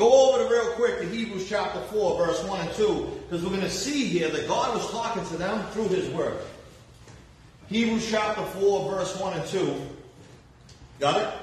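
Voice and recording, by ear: Strong room echo carries a man's high-pitched voice as he speaks at a moderate pace with ordinary pitch variation.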